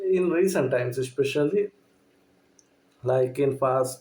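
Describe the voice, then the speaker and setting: This man talks very slowly in a dark, mellow tone that is somewhat breathy. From Sri Lanka. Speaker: movie reviewer. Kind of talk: casual review monologue. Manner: halting, many fillers.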